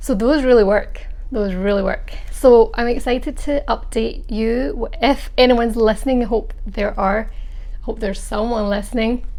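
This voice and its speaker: A woman with a Scottish accent speaks at a moderate pace in a high pitch with ordinary pitch variation, amid noticeable background noise and audible room echo. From Scotland, Glasgow. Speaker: vlogger. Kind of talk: casual vlog monologue.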